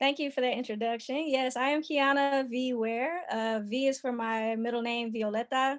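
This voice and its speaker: With an American accent, a woman with a high voice reads at a moderate pace, fairly even in intonation and with hardly any pauses. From US South, Georgia (Lithonia). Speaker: artist and book co-author. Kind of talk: podcast interview.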